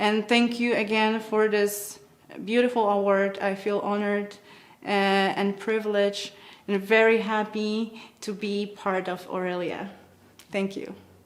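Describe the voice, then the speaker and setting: A woman with a Polish accent talks at a fairly slow pace in a flat monotone, leaving long, frequent pauses. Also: medium pitch for a woman. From Poland. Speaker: musician. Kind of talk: award acceptance speech. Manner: halting.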